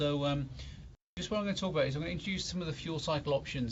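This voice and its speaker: A somewhat breathy man with a British accent speaks amid audible room echo. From UK. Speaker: nuclear engineer lecturer. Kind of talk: lecture.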